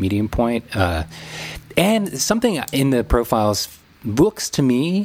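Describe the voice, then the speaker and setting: Over noticeable background noise, a man speaks fairly slowly at medium pitch, his pitch swinging very widely. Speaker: wedding photographer and podcast host. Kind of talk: casual chat.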